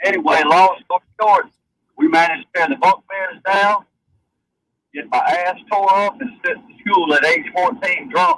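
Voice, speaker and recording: A man with a Southern US accent speaks at a moderate pace in a high voice with a bright, sharp tone. His intonation is lively, his loudness swings widely, and the sound is dry and close with no echo. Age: 60s. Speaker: caller. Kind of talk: anecdote.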